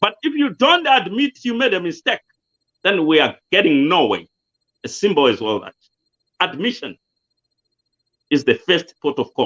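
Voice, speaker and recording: Speaking in a Zimbabwean accent, a man with a high pitch moves at a moderate pace through very wide pitch swings, leaving long, frequent pauses. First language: Shona. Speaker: political commentator. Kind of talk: interview.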